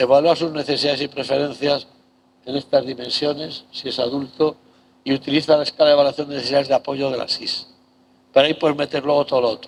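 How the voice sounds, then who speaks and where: A man's very fast, monotone delivery, fairly high in pitch with flat intonation. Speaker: professor. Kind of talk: lecture.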